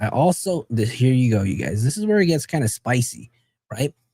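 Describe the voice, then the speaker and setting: Somewhat breathy and dark, mellow in tone, a man speaks at medium pitch and a moderate pace. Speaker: true crime commentator. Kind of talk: live stream commentary. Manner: casual, conversational.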